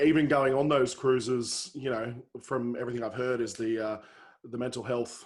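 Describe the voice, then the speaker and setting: With an Australian accent, a man speaks at a fairly quick pace in a medium pitch, his intonation fairly even. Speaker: comedian and podcast host. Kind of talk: casual podcast chat.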